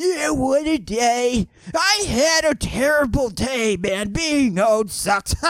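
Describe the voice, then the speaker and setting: In a put-on character voice, a man speaks very slowly at an extremely high pitch with very wide pitch swings. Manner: complaining.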